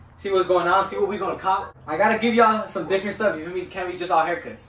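Light noise sits in the background while a man talks amid audible room echo. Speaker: barber vlogger. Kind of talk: casual vlog chat.

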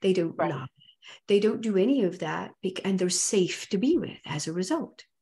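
Her voice carries vocal fry as a woman speaks with lively intonation. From Africa. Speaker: hypnotherapist and animal communicator; interview guest. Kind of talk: interview. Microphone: video call.

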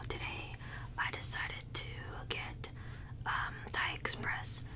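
A woman speaks at a very slow pace. Loud noise fills the background. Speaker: ASMR mukbang creator. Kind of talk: casual talk to camera. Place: home room. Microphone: studio mic.

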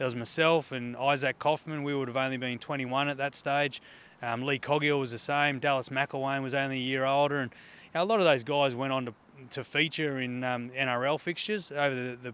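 The speaker moves at a fairly quick pace with fairly even intonation. The sound is dry, with no echo. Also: man. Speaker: interviewee. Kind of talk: interview answer. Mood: reflective, relaxed. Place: stadium. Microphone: handheld.

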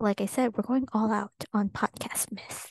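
Soft-spoken and somewhat breathy, a woman talks at a fairly high pitch with a dark, mellow tone and fairly even intonation. The sound is dry with no echo, and the background is quiet. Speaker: podcast host. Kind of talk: ASMR podcast monologue. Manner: casual, freestyled. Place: home room. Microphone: earbuds.

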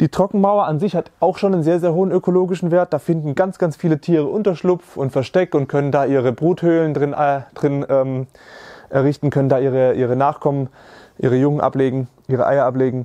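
At a fairly quick pace, a man speaks with very even loudness and ordinary pitch variation, in a dry sound with no echo and a quiet background. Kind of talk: explanatory walkthrough. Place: garden.

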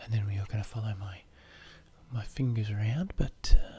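Soft-spoken and dark, mellow in tone, the voice moves at a fairly quick pace with fairly even intonation. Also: man, fairly low pitch for a man. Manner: soft-spoken, hushed close-up voice. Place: home room. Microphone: webcam.

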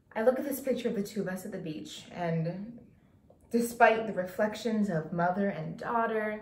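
A woman speaks at a moderate pace with ordinary pitch variation and big swings in loudness. Audible room echo and light background noise surround her. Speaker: actor. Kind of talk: acting monologue. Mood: bitter, angry, emotional. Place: home room. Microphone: camera far.

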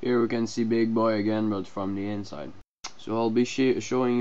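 Monotone, flat delivery at a fairly quick pace, with noticeable background noise. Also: man. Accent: French Canadian. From French Canada. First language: French. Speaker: PC owner. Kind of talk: casual computer build walkthrough. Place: home room. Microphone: phone near.

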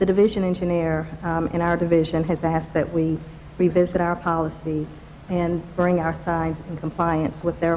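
The woman's pitch is fairly low and her intonation monotone and flat. Light background noise can be heard. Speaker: presenter. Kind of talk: formal presentation to committee. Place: meeting room. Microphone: podium.

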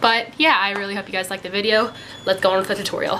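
A woman's monotone, flat delivery over light background noise. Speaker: teen beauty vlogger. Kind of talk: casual vlog tutorial chat. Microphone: phone near.

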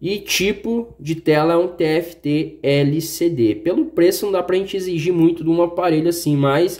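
Speaking with a Brazilian accent, a man talks at a fairly slow pace in a high pitch. The background is quiet. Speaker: tech YouTuber; tech reviewer. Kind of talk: unboxing review. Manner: casual, hesitant. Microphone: phone near.

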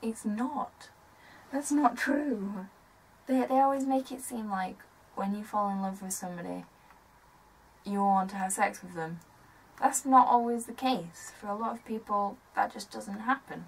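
A woman speaks fairly slowly at a fairly high pitch, somewhat breathy, with ordinary pitch variation, big swings in loudness, and long, frequent pauses. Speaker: vlogger. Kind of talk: casual talk to camera. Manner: awkward, stuttering. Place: home room. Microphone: webcam.

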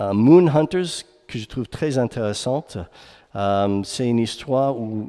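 With an English accent, a man speaks in a dark, mellow tone and ordinary pitch variation. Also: quiet background. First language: English (speaking French). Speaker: game narrative director. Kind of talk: conference talk. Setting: stage with audience. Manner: halting, many fillers and repeats; energetic. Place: hall.

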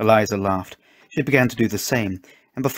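This is a natural reading voice. It reads the words through.

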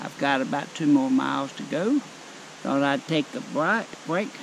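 Over light background noise, a man talks in a dry sound with no echo. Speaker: solo hiker vlogger. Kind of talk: casual vlog chat. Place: forest. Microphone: phone near.

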